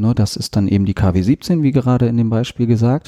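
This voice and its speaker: Dark, mellow male tone, ordinary pitch variation. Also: very clean recording, silent background. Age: 40s. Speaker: podcast host and sailboat salesman. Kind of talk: casual interview conversation.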